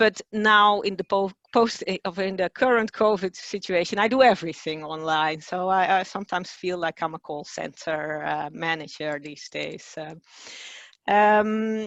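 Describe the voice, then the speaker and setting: A woman with a Dutch accent talks at a moderate pace and medium pitch, with ordinary pitch variation and big swings in loudness. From Netherlands. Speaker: communications director. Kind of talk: webinar presentation. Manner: hesitant, many fillers.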